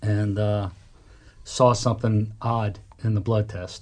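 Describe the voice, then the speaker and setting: Over a quiet background, a man with a fairly low pitch and a somewhat breathy voice speaks very slowly in a monotone, flat intonation. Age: 60s. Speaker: roofing company owner. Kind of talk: testimony.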